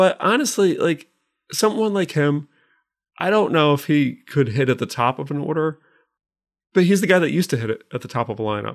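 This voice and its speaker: A man with an American accent and a fairly high pitch talks at a fairly quick pace with lively intonation and long, frequent pauses, in a very clean recording over a silent background. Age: 30s. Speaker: podcast co-host. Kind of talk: casual chat.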